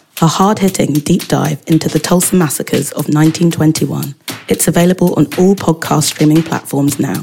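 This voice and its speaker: A woman with a fairly low pitch speaks while music plays in the background. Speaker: podcast host, magazine editor. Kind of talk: casual interview chat.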